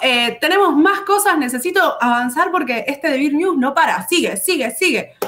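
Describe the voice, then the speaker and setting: A woman with lively intonation, very even loudness and a moderate pace. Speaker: board game company presenter; presenter. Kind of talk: casual chat. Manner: animated. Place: home room.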